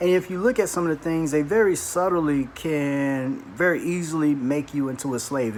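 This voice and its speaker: There is noticeable background noise behind a man whose voice sits fairly high. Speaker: atheist video blogger. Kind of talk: response video monologue. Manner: hesitant with fillers.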